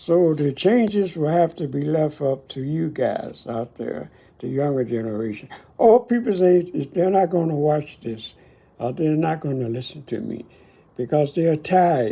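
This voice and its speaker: In an American accent, a voice with a dark, mellow tone moves at a fairly slow pace with lively intonation. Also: man, fairly high pitch for a man. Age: 80s+. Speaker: Korean War veteran. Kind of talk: personal reflection to camera. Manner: halting.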